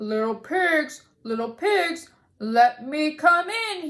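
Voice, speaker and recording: In a put-on character voice, a woman draws out her words very slowly, pitched high. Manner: growling.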